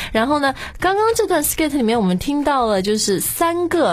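Pitch leaps very widely from high to low. Background noise is noticeable throughout. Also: woman. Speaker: podcast host. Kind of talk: casual chat. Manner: animated.

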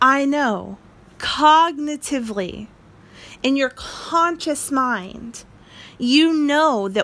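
A woman's very slow talking shows ordinary pitch variation. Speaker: motivational podcaster. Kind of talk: motivational monologue.

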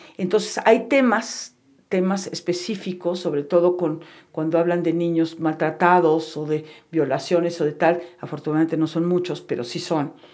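This woman has an ordinary speaking voice, fairly low in pitch, with ordinary pitch variation at a moderate pace. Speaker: psychotherapist and meditation teacher. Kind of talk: interview.

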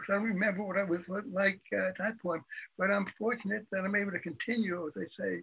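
A man's high voice is raised and projected, bright and sharp in tone, moving at a fairly quick pace with fairly even intonation. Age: 80s+. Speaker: author and retired math professor. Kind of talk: interview.

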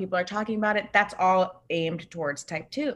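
The speaker has a normal speaking voice, talking at a moderate pace with ordinary pitch variation. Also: woman. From Northern California, Bay Area. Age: 20s. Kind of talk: casual interview chat.

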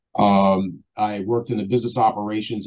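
Here is a man with an unremarkable speaking voice and fairly low pitch. His intonation is fairly even. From Baltimore, Maryland, US. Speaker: basketball assistant coach. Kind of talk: interview.

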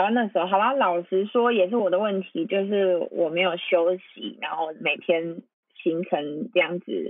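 A woman with an unremarkable speaking voice talks at medium pitch. Her pace is moderate and her pitch variation ordinary. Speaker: podcast host. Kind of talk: casual chat.

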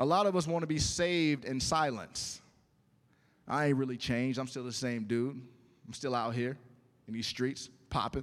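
A man's medium-pitched voice at a moderate pace, with ordinary pitch variation and long, frequent pauses, in a very clean recording with a silent background. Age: 40s. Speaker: pastor. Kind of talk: sermon. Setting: church.

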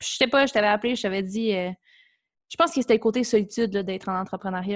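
Very fast speech from a woman with fairly even intonation, over a quiet background. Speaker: podcast host. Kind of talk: scripted introduction; casual interview.

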